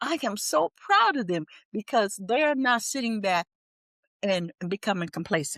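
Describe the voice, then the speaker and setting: A woman with an American accent speaks at a fairly slow pace in a medium pitch. Her tone is animated, and her pitch swings very widely. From US Midwest, Milwaukee. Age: 70s. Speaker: retired teacher and civil rights activist. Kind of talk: interview. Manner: halting, with frequent restarts.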